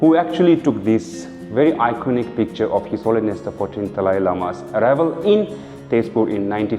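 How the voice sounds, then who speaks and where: With music in the background, a man talks at a moderate pace and medium pitch, his voice making very wide pitch swings. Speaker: podcast host. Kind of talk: podcast introduction and interview questions.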